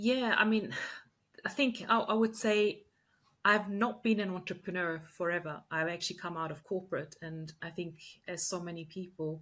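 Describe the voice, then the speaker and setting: A woman with an Austrian accent and medium pitch speaks at a moderate pace, with ordinary pitch variation and big swings in loudness. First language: German. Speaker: leadership coach and entrepreneur. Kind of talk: podcast interview.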